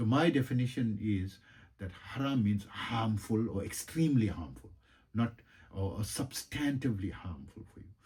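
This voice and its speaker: The intonation is lively and the pace moderate. There's a somewhat breathy quality to the voice. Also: man, fairly low pitch for a man. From South Africa. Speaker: yoga and meditation teacher, energy healer. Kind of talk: casual monologue. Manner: halting, many fillers.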